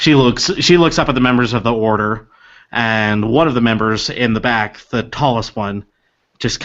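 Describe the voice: Over a quiet background, the plain reading aloud has ordinary pitch variation.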